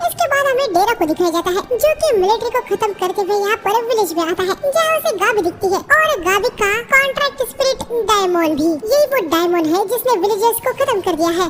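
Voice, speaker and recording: A woman's squeaky, cartoonish character voice, extremely high in pitch, moves at a fairly quick pace with very even loudness against clear background noise. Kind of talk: anime recap narration. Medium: read story. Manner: fast, casual, Hinglish.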